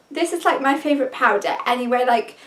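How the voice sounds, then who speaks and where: High pitch for a woman, set against noticeable background noise. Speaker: beauty vlogger. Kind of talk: product review vlog. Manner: enthusiastic.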